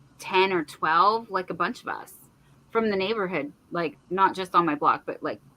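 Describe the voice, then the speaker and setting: Moderately paced speech from a woman, medium in pitch, with ordinary pitch variation. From San Francisco Bay Area. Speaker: crochet YouTuber. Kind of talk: casual chat.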